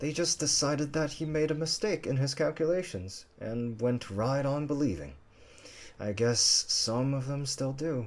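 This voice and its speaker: A man's gruff, put-on character voice, fairly high in pitch, at a moderate pace. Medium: read story.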